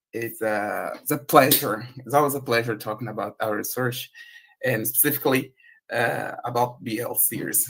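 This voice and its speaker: Using a Portuguese accent, a man of medium pitch speaks at a moderate pace with fairly even intonation and vocal fry. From Brazil. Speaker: researcher. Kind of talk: conference presentation.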